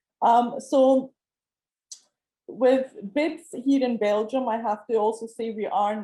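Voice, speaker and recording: A woman's dark, mellow tone in a Scottish accent. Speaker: panel expert. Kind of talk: panel discussion.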